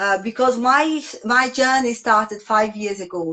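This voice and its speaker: Speaking at a moderate pace with ordinary pitch variation, a woman has a strong non-native accent. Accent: strong foreign. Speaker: yoga teacher. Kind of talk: casual chat.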